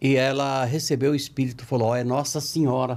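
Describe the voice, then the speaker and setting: The recording is very clean with a silent background. A man talks at a fairly quick pace. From rural interior São Paulo, Brazil. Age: 70s. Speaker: spiritist writer and speaker. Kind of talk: podcast interview, storytelling.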